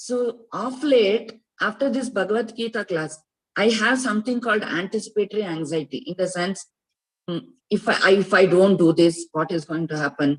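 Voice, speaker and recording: A woman with a medium pitch speaks at a moderate pace, her intonation lively. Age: 60s. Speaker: Gita class student. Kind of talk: personal testimony in online class. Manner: hesitant, many fillers.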